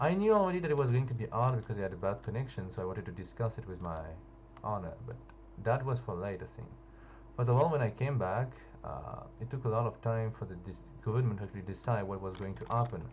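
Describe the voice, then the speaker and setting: Talking very fast with a French accent, a man with a fairly low voice is heard over noticeable background noise. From France. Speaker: gaming youtuber. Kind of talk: casual storytelling over gameplay. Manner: halting, hesitant.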